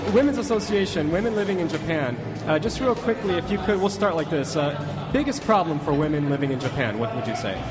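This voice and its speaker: Amid noticeable background noise and audible room echo, a man with a high pitch and very wide pitch swings talks at a moderate pace with hardly any pauses. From USA. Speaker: radio host. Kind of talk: live public broadcast, casual chat. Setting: public live broadcast in a shopping mall. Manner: animated.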